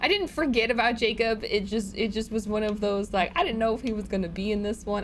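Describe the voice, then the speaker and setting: Medium-pitched woman with a Chicago accent at a fairly quick pace. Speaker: gaming streamer. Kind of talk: casual gameplay commentary. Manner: animated, repetitive stammering.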